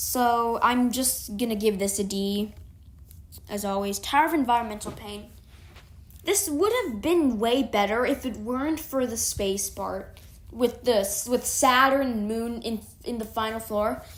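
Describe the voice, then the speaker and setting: A woman with a fairly high pitch speaks at a fairly slow pace, with ordinary pitch variation. Noticeable background noise and audible room echo are present. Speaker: gaming streamer. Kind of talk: casual game commentary. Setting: live stream.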